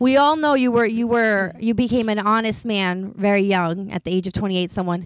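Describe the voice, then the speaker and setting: Speaking at a fairly quick pace with hardly any pauses, a woman with an unremarkable speaking voice keeps a medium pitch and ordinary pitch variation. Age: 30s. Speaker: podcast host. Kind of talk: casual chat.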